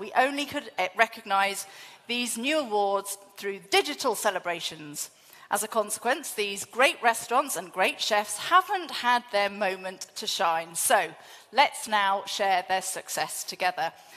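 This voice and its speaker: A woman talks at a fairly slow pace, and the background is quiet. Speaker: event host. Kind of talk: ceremony hosting speech. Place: hall.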